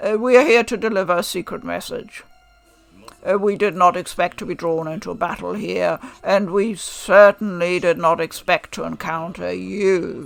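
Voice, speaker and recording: Over faint music in the background, a woman uses a put-on character voice at a medium pitch and moderate pace. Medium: read story. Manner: calm, formal, measured.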